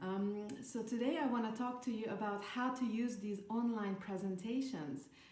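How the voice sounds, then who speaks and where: With a Hungarian accent, a woman speaks at a fairly high pitch with ordinary pitch variation, amid noticeable background noise and audible room echo. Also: moderate pace, hardly any pauses. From Hungary. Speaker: network marketer. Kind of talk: podcast talk, training advice. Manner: halting, many fillers.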